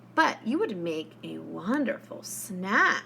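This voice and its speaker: A put-on character voice over clear background noise. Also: woman. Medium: read story.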